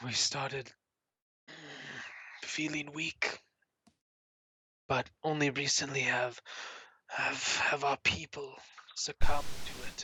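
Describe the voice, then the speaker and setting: Using a put-on character voice that is raspy and low-to-middle in pitch, the speaker goes at a fairly slow pace with long, frequent pauses. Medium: actual play. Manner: wheezy, guarded.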